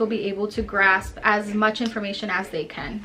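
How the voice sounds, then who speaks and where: A woman with a Spanish accent, over noticeable background noise. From El Salvador. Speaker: education student and substitute teacher. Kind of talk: reflection video for homework. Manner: casual, conversational.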